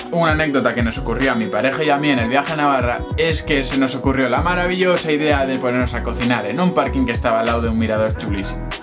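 Clear music plays in the background as a man talks at a very fast pace with hardly any pauses. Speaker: vlogger. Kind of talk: casual vlog chat. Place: home room. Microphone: camera far.

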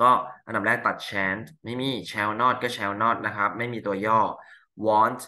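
A man's fairly low voice, bright and sharp in tone, with monotone, flat intonation and a quiet background. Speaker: English teacher. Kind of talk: tutorial. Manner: casual. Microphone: webcam.

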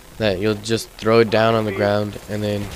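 With noticeable background noise behind him, a man speaks at a fairly low pitch. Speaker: gaming commentator. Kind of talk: casual gameplay commentary.

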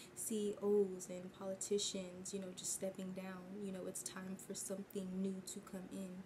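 Over noticeable background noise, a woman talks with monotone, flat intonation. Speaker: tarot reader. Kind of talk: tarot reading commentary. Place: home room. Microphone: phone near.

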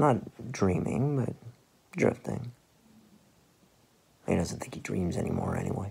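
A man's put-on character voice, fairly low-pitched with a dark, mellow tone, a husky, rough edge and vocal fry, at a fairly slow pace with very wide pitch swings

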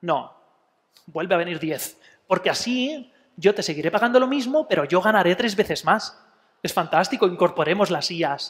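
A man's high-pitched, animated voice with lively intonation at a moderate pace against a quiet background. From Spain, Elche (Alicante); Spain. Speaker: psychologist giving a talk. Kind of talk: public talk. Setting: museum talk with live audience. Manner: animated, with many fillers. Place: hall.

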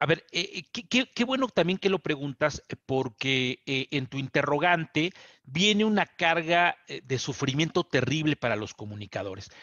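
In a Mexican accent, a man with a fairly high pitch speaks at a fairly slow pace with very wide pitch swings, against a quiet background and a dry sound with no echo. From Mexico. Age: 50s. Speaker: journalist. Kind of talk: TV interview. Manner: halting, frequent fillers and repetitions. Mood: serious, indignant. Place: office. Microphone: headset.

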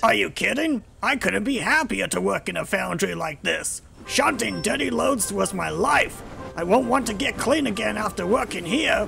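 A man speaks at a moderate pace in a high, put-on character voice, with clear music playing in the background. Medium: audio drama. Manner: eager, excitable, stubborn.

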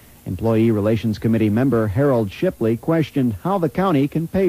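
A man talks at a fairly quick pace with lively intonation and a dark, mellow tone. The sound is dry with no echo. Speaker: local radio newscaster. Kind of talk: news reading. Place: studio.

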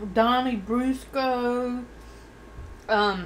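Her pitch is high and her intonation fairly even. Light background noise accompanies the woman. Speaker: eating-show vlogger. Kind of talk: casual vlog chat. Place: home room. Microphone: studio mic.

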